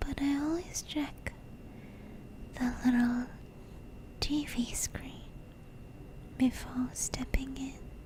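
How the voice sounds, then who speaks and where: A woman whispers at a very slow pace, leaving long, frequent pauses, with noticeable background noise around her. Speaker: ASMR creator / streamer. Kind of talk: horror story narration, ASMR. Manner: whispered, soft, cozy.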